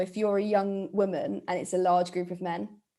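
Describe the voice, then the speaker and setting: Her pace runs fairly quick. The woman talks with a British accent. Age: 20s. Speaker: podcast host. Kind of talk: casual chat.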